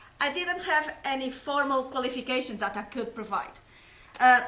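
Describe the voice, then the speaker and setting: In a raised, projected voice, a woman with a Portuguese accent speaks at a moderate pace and a high pitch. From Portugal. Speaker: science communicator. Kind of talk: personal testimony. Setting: live stream.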